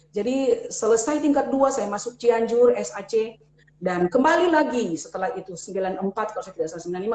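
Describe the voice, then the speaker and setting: A woman's fairly quick speech with lively intonation, over noticeable background noise. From Manado, North Sulawesi, Indonesia. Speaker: pastor. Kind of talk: testimony. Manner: halting.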